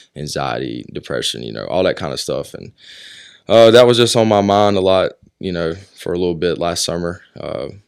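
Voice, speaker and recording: A man with an American accent and a very deep, low voice with vocal fry speaks at a moderate pace, with very wide pitch swings and big swings in loudness, in a very clean recording with a silent background. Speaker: singer-songwriter and military veteran. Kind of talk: casual interview chat.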